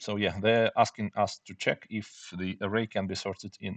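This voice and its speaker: A man with a non-native accent, moderate pace and monotone, flat intonation. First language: not English. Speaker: programming tutor. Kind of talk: tutorial. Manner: halting, many fillers.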